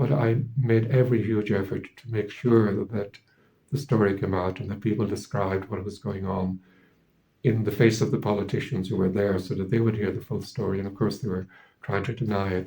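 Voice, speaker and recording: A man's fairly low, somewhat breathy voice with a dark, mellow tone, in an Irish accent, at a fairly quick pace with fairly even intonation. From Ireland. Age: 70s. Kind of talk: interview testimony. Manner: halting, many repetitions and fillers.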